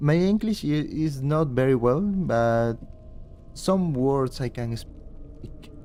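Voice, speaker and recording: Over music in the background, a man with a Spanish accent speaks very slowly at a fairly high pitch with lively intonation. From Peru. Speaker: game streamer. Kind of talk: live stream commentary.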